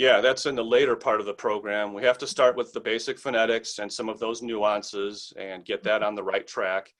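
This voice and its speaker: A man with an American accent talks at a fairly quick pace with hardly any pauses. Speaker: English teacher. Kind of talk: interview answer.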